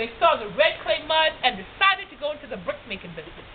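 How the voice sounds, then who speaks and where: Fairly quick speech in an American accent with very wide pitch swings and noticeable background noise. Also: woman. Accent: Gullah. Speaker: storyteller. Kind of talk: plantation history talk to visitors.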